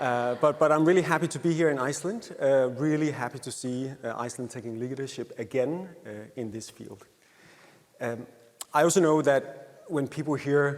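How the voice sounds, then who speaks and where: A man speaks with a Danish accent at a fairly high pitch with ordinary variation. His loudness swings widely. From Denmark. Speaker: happiness researcher. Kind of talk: conference presentation. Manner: hesitant with frequent fillers.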